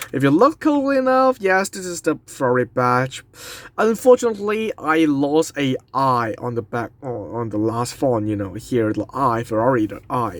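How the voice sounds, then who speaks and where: With a non-native accent, a man speaks in very wide pitch swings. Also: medium pitch for a man. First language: not English. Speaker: diecast model reviewer. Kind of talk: product review. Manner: slow; halting.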